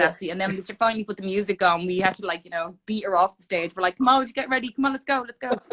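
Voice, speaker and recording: With an Irish accent, a woman talks at a very fast pace in an animated tone, using a medium pitch and ordinary pitch variation, in a dry, close sound with no echo. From Ireland, Dublin. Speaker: fitness competitor. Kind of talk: casual chat.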